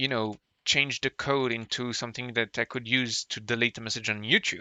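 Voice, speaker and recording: Speaking at a fairly quick pace in a French accent, a man holds a medium pitch with monotone, flat intonation. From France. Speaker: streamer. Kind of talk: live stream chat. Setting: live stream from home. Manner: halting.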